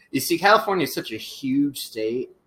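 Using a plain, everyday voice, a man with an American accent speaks at a moderate pace with ordinary pitch variation. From Northern Virginia. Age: 20s. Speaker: podcast co-host. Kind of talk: casual chat. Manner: many filler words.

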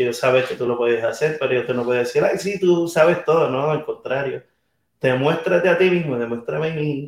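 The loudness swings widely. Delivery runs at a fairly quick pace. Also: man. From Venezuela, raised in Puerto Rico. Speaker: touring musician. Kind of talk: casual interview. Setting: backstage room at music venue.

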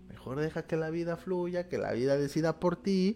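A man's fairly high, warm voice at a moderate pace. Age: 30s. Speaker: motivational speaker and livestream host. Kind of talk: live-streamed morning talk with card reading. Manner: warm, informal.

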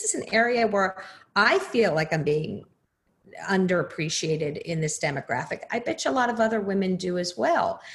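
Somewhat breathy, a woman with an American accent speaks with lively intonation. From New Jersey. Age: 50s. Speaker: podcaster and former lawyer. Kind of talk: interview.

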